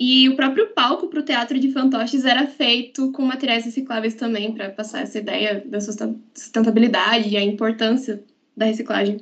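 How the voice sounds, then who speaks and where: Fairly high-pitched, a woman talks at a moderate pace in an unremarkable speaking voice, with fairly even intonation and hardly any pauses. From Paraná, Brazil (Guarapuava). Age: 20s. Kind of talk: podcast interview.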